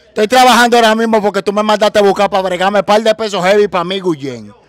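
A man with a high pitch talks at a very fast pace, the sound dry and close with no echo, with noticeable background noise. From Dominican Republic, Los Mina (Santo Domingo Este). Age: 20s. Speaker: social media personality. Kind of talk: casual interview.

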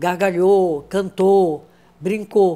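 This woman's voice has a dark, mellow tone. Her pitch sits fairly low. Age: 80s+. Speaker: actress. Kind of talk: interview answer. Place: home room. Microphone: lapel.

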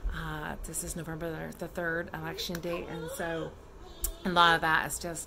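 A woman talks at a fairly slow pace while noticeable background noise carries on. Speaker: family vlogger. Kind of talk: casual vlog chat. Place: home room. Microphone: phone near.

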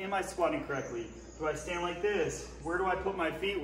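There is audible room echo and light background noise as a man with a high voice speaks at a moderate pace. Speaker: fitness coach. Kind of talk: tutorial. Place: gym. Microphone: camera far.

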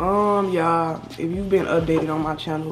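Over faint background music, a woman with a fairly low pitch speaks at a moderate pace with fairly even intonation. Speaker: YouTuber. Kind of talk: casual Q&A vlog chat. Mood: subdued, reflective. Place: home room. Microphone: webcam.

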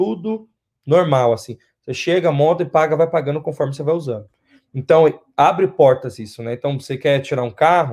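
A somewhat breathy man's voice, fairly high-pitched, at a fairly quick pace, with ordinary pitch variation over a quiet background. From Brazil, São Paulo city. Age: 20s. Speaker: interviewee, Brazilian immigrant; interview guest. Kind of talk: interview; interview answer. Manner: halting, repeats words. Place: home room. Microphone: video call.

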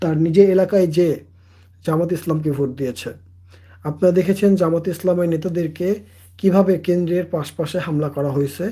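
This man has a high pitch and a dark, mellow tone. His intonation is fairly even. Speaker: political commentator. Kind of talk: political monologue. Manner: halting.

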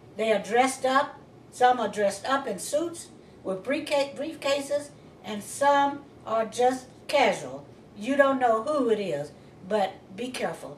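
A high-pitched woman speaks at a fairly slow pace with lively intonation and long, frequent pauses, with audible room echo and light background noise. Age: old. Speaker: crime victim, widow. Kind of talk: interview answer. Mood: earnest, cautionary. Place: home room.

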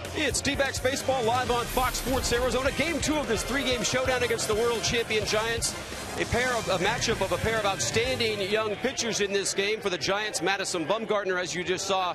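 Against clear background music, a man speaks in a raised, projected voice at a fairly quick pace with hardly any pauses, the sound dry with no echo. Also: ordinary pitch variation. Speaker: sideline reporter. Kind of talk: broadcast pregame report. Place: stadium. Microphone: handheld.

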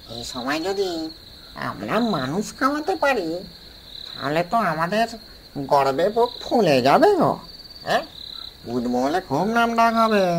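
A cartoonish character voice at a middle pitch, with very wide pitch swings, a moderate pace and clear background noise. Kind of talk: comic cartoon ghost voice. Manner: eager, flattering.

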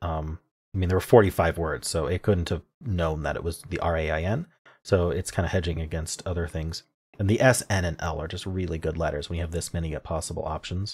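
This man's voice is somewhat breathy, with a very deep, low pitch and fairly even intonation. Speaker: puzzle video creator. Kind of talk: casual commentary. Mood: cheerful, pleased. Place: home room.

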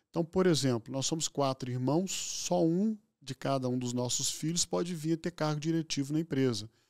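Against a quiet background, a man talks at a moderate pace with lively intonation and hardly any pauses. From Minas Gerais, Brazil. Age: 60s. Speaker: physician and hospital executive; guest. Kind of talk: interview conversation. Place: studio. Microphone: studio mic.

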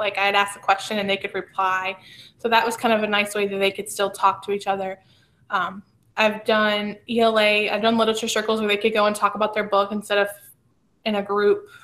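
With an American accent, a woman talks at a fairly quick pace, her fairly high pitch carrying a bright, sharp tone. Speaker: teacher leading staff training. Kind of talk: professional development presentation. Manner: fast. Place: home room.

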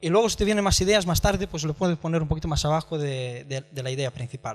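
The voice belongs to a man. Its pitch variation is ordinary. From outside Spain. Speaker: podcast platform entrepreneur; conference speaker. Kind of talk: conference talk. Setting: stage with audience. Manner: halting. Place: hall. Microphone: handheld.

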